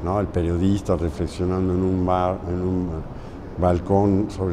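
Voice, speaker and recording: A man speaks at a moderate pace in a very deep, low pitch with monotone, flat intonation. There is audible room echo and noticeable background noise. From Mexico. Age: 70s. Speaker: muralist painter. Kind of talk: interview.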